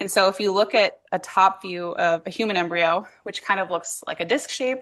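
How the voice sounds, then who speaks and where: Loud and bright with a sharp tone, a woman's medium-pitched voice moves at a moderate pace with fairly even intonation. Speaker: PhD student researcher giving a talk. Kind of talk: lecture. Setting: workshop talk with audience.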